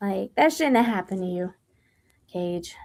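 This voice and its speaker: Her intonation lively, a woman speaks with an American accent. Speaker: movie podcast host. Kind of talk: casual chat.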